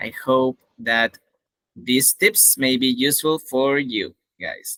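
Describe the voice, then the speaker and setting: A man with a Spanish accent speaks at a very slow pace in a bright, sharp tone. The sound is dry and close with no echo, and his intonation stays fairly even. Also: medium pitch for a man. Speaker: English teacher and event host. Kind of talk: event hosting.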